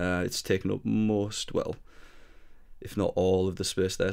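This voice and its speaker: A man speaks with a fairly low pitch. His pace is moderate. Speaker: music software tutorial maker. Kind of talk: screen-recorded software tutorial. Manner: casual, hesitant.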